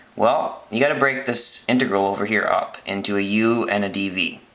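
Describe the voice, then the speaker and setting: Heard with audible room echo, a man speaks at a medium pitch with ordinary pitch variation. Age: 20s. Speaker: student making math tutorial videos. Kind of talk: tutorial. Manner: casual.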